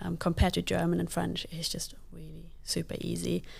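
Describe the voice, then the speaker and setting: A woman speaks with a Luxembourgish accent. Her pace is fairly quick. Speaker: parkour athlete and digital lead. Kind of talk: casual interview.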